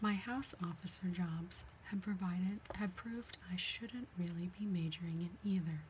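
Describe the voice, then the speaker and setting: Against light background noise, a soft-spoken woman talks at a fairly slow pace with ordinary pitch variation. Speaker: reader of a medical memoir. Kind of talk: reading aloud from a book. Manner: soft, quiet ASMR reading voice. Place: home room. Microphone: webcam.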